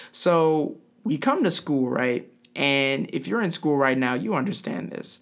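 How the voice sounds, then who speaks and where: A man with an American accent has an ordinary speaking voice. He talks fairly slowly at a fairly high pitch, with lively intonation. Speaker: podcast host. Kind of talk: interview.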